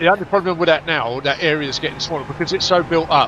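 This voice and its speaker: Speaking very fast in a London accent, a man with a fairly high pitch is heard over noticeable background noise. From East London (Stepney), England. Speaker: sim racer. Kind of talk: casual chat.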